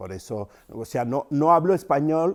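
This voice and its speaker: Lively intonation marks this man's speech. The background is silent and the recording very clean. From Cameroon, rural. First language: Yambasa (speaking Spanish). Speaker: writer and storyteller. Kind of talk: interview. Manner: thoughtful, with hesitations.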